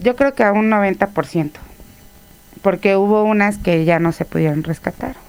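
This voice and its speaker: A woman with an unremarkable speaking voice speaks at a medium pitch and a fairly slow pace. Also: ordinary pitch variation. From Mexico, Tlaxcala. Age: 30s. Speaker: mayor. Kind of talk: interview.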